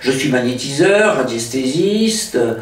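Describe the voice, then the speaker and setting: This man talks at a fairly slow pace in a medium pitch, with lively intonation. Noticeable background noise and audible room echo come through. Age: 60s. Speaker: hypnotist. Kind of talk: interview. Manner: hesitant, many filler sounds.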